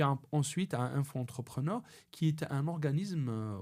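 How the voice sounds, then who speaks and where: With a dark, mellow tone and fairly high pitch, a man speaks at a fairly slow pace using lively intonation. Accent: Algerian. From Algeria. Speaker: personal branding consultant. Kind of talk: podcast interview. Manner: halting, many repetitions.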